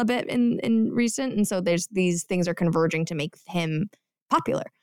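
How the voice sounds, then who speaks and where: A woman speaks at a fairly quick pace in a normal speaking voice, her medium pitch moving with ordinary variation in a dry, close sound with no echo. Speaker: podcast co-host. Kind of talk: casual chat.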